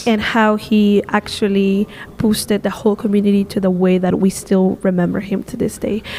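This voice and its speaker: Monotone, flat intonation carries at a moderate pace over noticeable background noise. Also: woman, medium pitch for a woman. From Peru. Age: 20s. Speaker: visual artist and tour guide. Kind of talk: podcast interview answer.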